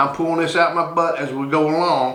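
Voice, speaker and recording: A man with a fairly high pitch speaks at a moderate pace. There is audible room echo and noticeable background noise. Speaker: YouTuber, knife and gun channel host. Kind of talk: casual show-and-tell monologue. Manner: halting, unscripted.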